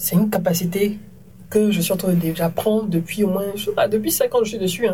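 This woman's voice sits at a medium pitch, dark and mellow in tone and somewhat breathy. She talks at a moderate pace with fairly even intonation. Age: 30s. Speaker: TV presenter and media entrepreneur. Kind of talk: casual interview conversation.

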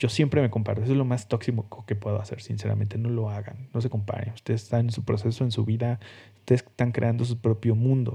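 This man talks very fast in a dark, mellow tone that is somewhat breathy. His intonation stays monotone and flat. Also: medium pitch for a man. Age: 30s. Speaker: podcast host, designer. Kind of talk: solo podcast monologue. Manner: casual, hesitant with fillers.

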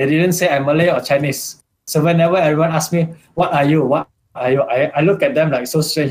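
A man speaks at a fairly quick pace in a normal speaking voice. His pitch is fairly high, with ordinary pitch variation. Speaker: podcast guest. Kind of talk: casual discussion.

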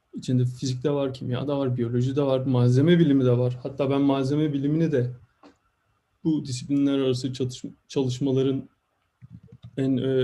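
Fairly high in pitch, this man's voice has a dark, mellow tone and is somewhat breathy. He speaks at a fairly quick pace. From Turkey, İzmir (Karşıyaka). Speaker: materials science researcher. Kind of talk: interview.

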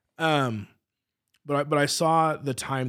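With an American accent, a man speaks at a fairly slow pace and with fairly even intonation. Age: 30s. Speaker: church creative arts director and worship leader. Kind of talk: casual interview.

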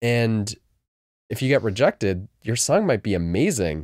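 A man with a normal speaking voice and an American accent talks at a fairly slow pace and medium pitch with lively intonation, in a dry, close sound with no echo. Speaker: guest DJ and music label owner. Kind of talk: casual interview chat.

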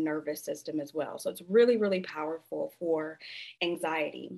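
Over a quiet background, a woman with an American accent speaks with ordinary pitch variation. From US Midwest, Flint, Michigan. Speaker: sound healer and nurse practitioner. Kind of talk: interview conversation. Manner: frequent filler words.

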